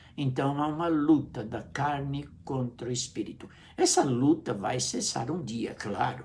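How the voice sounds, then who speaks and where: A man with a Brazilian accent speaks at a fairly slow pace. Audible room echo surrounds his voice. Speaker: pastor. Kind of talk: sermon. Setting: live stream.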